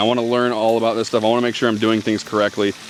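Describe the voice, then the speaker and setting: Over noticeable background noise, a man speaks at medium pitch. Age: 30s. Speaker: homesteading vlogger. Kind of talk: casual vlog talk to camera. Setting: outdoors by a pond. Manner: hesitant, many fillers and restarts.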